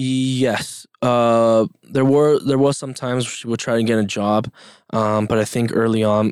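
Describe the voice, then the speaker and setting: Speaking with a Spanish accent, a man keeps a medium pitch, a moderate pace, and a monotone, flat intonation in a very clean recording with a silent background. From Mexico, Yucatan (Progreso), moved to US at 5-6. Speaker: podcast guest. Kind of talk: casual interview. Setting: studio.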